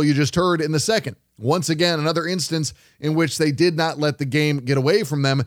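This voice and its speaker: An unremarkable speaking voice from a man, fairly high in pitch, fairly quick in pace, and very even in loudness. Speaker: sports radio host. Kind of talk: post-game sports radio show recap and analysis. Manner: conversational, analytical.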